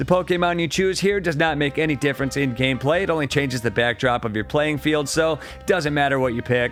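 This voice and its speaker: A man's fairly high voice, very fast and with lively intonation, over background music. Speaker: retro game reviewer. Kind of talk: game review narration.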